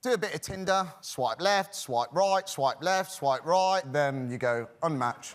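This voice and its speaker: With an English accent, a man speaks at a fairly slow pace and hardly any pauses. His pitch is high, with lively intonation. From United Kingdom. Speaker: dating show contestant. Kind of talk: casual TV interview.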